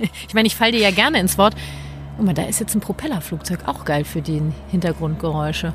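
A woman races along at a very fast pace while noticeable background noise carries on. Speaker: parenting coach and nonviolent communication trainer. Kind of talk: casual chat.

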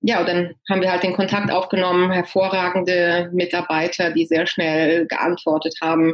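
A woman's fairly low, monotone, flat voice at a fairly slow pace, with very even loudness. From Germany, Hanover. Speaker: real estate agent. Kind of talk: interview. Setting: video call.

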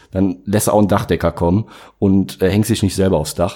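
A man with a dark, mellow tone. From Aachen area, Germany. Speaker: entrepreneur, online shop managing director. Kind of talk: casual interview chat.

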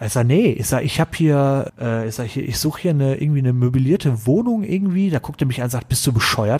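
Speaking at a very fast pace, a man keeps a medium pitch. His intonation is lively. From Ruhr area, Germany. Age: 30s. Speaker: IT consultant. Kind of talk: casual chat.

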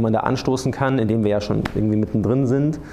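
Fairly quick speech from a man at a fairly low pitch with ordinary pitch variation, amid noticeable background noise and audible room echo. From Munich, Bavaria. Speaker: journalist. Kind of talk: panel discussion before live audience. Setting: theatre stage with audience.

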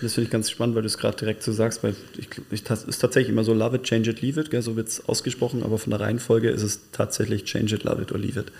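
At a very fast pace, a man speaks in a medium pitch that is somewhat breathy, with monotone, flat intonation. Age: 40s. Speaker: podcast co-host. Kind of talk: casual chat. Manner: halting.

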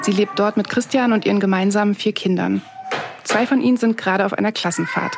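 Talking at a fairly quick clip, a woman keeps her loudness very even over noticeable background noise. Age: 30s. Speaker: journalist and podcast host. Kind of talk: scripted narration with interviews.

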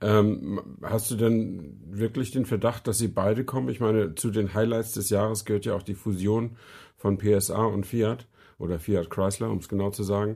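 A dark, mellow tone at a moderate pace, with fairly even intonation, on a very clean recording with a silent background. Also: man, fairly low pitch for a man. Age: 50s. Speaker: car podcast co-host. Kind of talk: casual chat.

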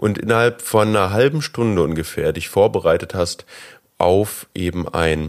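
A man talks in a plain, everyday voice with lively intonation and a fairly low pitch. The recording is very clean, with a silent background. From Germany. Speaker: podcast host. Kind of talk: interview.

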